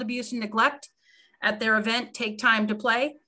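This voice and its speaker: Over a quiet background, a woman talks in a bright, sharp tone. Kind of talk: meeting report. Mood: warm, appreciative. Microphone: video call.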